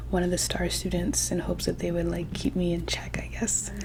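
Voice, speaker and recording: A soft-spoken voice talks in a relaxed tone. Noticeable background noise can be heard. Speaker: ASMR creator. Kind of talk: casual soft-spoken life update to camera. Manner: soft-spoken, rambling, relaxed.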